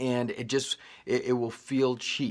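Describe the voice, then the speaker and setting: A man speaks at a medium pitch. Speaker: video tutorial instructor. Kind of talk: tutorial. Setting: small studio room in workshop. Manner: loud.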